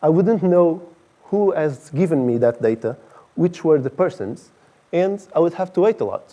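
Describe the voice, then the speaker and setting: A man with a Portuguese accent, high pitch, a dark, mellow tone, lively intonation and a fairly slow pace. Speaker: director of engineering. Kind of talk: conference talk.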